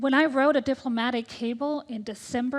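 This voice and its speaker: A woman talks at a fairly quick pace in a high pitch. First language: Danish. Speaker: tech ambassador, diplomat. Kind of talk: panel discussion.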